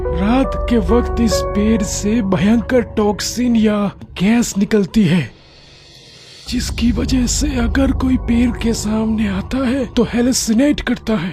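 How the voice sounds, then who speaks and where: Clear music plays behind a cartoonish character voice at a fairly high pitch and a fairly slow pace. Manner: calm, reasoning.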